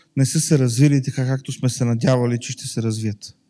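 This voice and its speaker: On a very clean recording with a silent background, a man with a dark, mellow tone speaks at medium pitch and a moderate pace in fairly even intonation. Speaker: church interpreter. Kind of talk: interpreted sermon. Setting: church.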